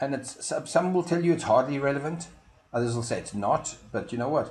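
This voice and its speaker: Here a man speaks with a South African accent at a fairly quick pace. His pitch is fairly high, with ordinary pitch variation. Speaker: marketing consultant. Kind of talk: promotional explainer video. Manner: hesitant, frequent fillers.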